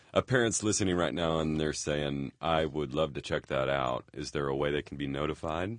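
Noticeable background noise sits under this clip. A man with a very deep, low pitch speaks with hardly any pauses. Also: ordinary pitch variation, moderate pace. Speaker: podcast host. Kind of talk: casual interview. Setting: studio. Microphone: studio quality recording.

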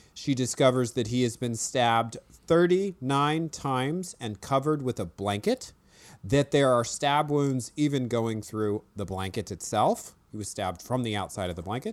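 Speaking with an ordinary speaking voice, a man at medium pitch keeps a moderate pace with lively intonation and hardly any pauses, in a very clean recording with a silent background. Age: 40s. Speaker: podcast host and novelist. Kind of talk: casual chat about a true crime show.

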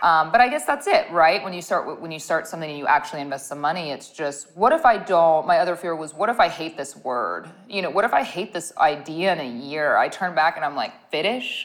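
A woman with an American accent speaks at a fairly quick pace, her pitch varying an ordinary amount. Her loudness swings widely, and there is noticeable background noise. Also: hardly any pauses. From US Midwest, Ohio. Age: 30s. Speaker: skincare company founder. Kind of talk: interview.

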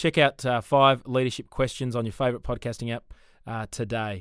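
Over a very clean, silent background, a man with an Australian accent speaks at medium pitch with fairly even intonation. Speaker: podcast host, church ministry. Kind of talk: casual chat.

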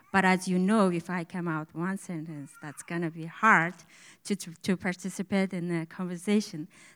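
Spoken with a Mongolian accent at a moderate pace, the voice has monotone, flat intonation and big swings in loudness in a very clean recording with a silent background. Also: woman, fairly low pitch for a woman. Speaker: church member. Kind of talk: testimony. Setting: church service with congregation. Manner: halting.

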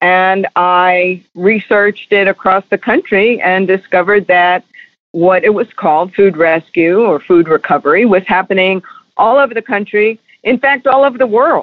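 A woman with a normal speaking voice talks at a moderate pace and medium pitch, with ordinary pitch variation and very even loudness. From New York. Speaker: charity founder. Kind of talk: interview.

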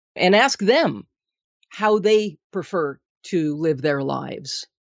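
In a normal speaking voice, a woman speaks at a fairly low pitch with lively intonation. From Minnesota. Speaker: nutrition consultant and author. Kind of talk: interview.

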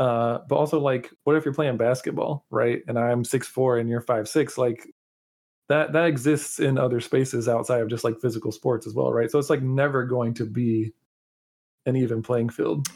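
This man has an unremarkable speaking voice, medium in pitch, moving at a moderate pace with fairly even intonation. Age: 30s. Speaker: card game player and QA engineer. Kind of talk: casual chat.

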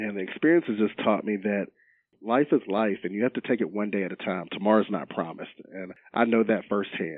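A man's plain, everyday voice with an American accent, fairly low pitch, ordinary pitch variation, and a fairly quick pace. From Roanoke and Salem, Virginia. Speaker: retired football player, healthcare quality manager. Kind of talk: interview.

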